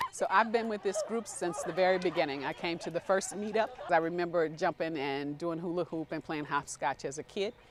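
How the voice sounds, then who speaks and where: Noticeable background noise sits behind a woman speaking at a fairly quick pace. Her pitch is fairly low, with ordinary variation. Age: 60s. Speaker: club member. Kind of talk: interview.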